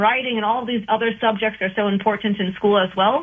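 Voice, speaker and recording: A woman's fairly high, unremarkable speaking voice with ordinary pitch variation. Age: 20s. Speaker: nutrition coach. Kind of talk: casual chat.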